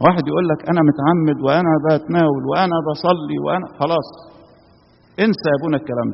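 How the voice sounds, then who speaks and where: This man has a fairly high pitch with vocal fry. His pitch varies in an ordinary way. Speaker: Coptic priest or preacher. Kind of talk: sermon.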